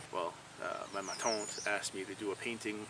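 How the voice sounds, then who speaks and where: Noticeable background noise sits behind a man with a Quebec accent who speaks at a moderate pace with a fairly low pitch. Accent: French Canadian accent in English. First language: French. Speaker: painter. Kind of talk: casual vlog monologue. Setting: outdoors by a stream. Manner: halting, many fillers.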